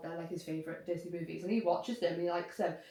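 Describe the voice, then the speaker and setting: A woman is speaking. She has a Liverpool accent. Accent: Scouse. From Liverpool region, England. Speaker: YouTuber. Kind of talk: casual chat.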